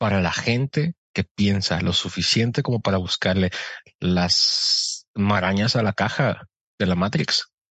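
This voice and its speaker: Speaking very slowly, a man keeps his loudness very even. His pitch is fairly low. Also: ordinary pitch variation. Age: 30s. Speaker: podcast guest and voice-over announcer. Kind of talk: casual chat.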